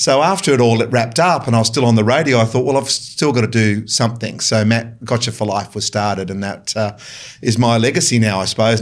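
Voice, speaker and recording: Talking at a very fast pace, a man with an Australian accent keeps a medium pitch and fairly even intonation. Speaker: mental health charity founder and former radio host. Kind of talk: interview. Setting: studio.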